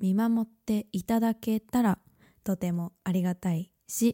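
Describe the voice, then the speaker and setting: In a very clean recording with a silent background and a dry, close sound with no echo, a woman speaks at a fairly slow pace with fairly even intonation and a dark, mellow tone. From Japan. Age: 20s. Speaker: podcast host. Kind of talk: casual monologue. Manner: chatty.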